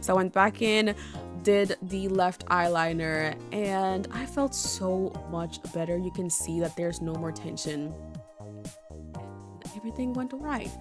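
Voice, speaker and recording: With music in the background, a woman speaks fairly slowly. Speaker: beauty content creator. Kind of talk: casual makeup tutorial talk to camera. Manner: hesitant, stumbling over words.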